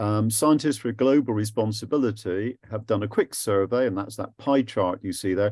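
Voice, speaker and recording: On a very clean recording with a silent background, a man with an English accent speaks at a fairly low pitch with ordinary pitch variation. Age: 70s. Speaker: anti-war activist and physicist giving a talk. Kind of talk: presentation to a group. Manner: lively.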